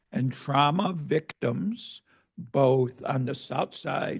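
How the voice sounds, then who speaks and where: A man speaks at a very slow pace in a fairly high pitch, with vocal fry. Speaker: academic event audience member asking questions. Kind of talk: Q&A discussion after presentation.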